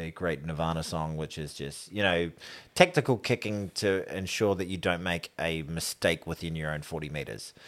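Recorded very cleanly against a silent background, a man with a very deep, low voice and a New Zealand accent speaks at a moderate pace with ordinary pitch variation. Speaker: podcast host. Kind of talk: casual banter about rugby.

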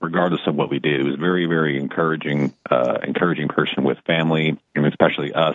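A man with an American accent and a very deep, low pitch speaks at a fairly quick pace. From Dallas-Fort Worth, Texas. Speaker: insurance broker and sales trainer. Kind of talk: casual chat.

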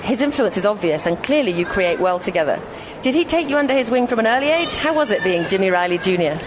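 Crowd noise fills the background as a woman talks at a very fast pace with very even loudness. Her fairly high pitch makes very wide swings. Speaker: radio host. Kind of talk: radio interview.

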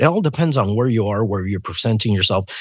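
A man with a Spanish accent and lively intonation. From Puerto Rico. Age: 40s. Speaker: musician. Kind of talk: casual chat.

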